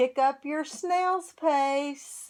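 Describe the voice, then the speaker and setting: Using a put-on character voice, a woman speaks at a high pitch with ordinary pitch variation. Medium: read story. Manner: warm, encouraging.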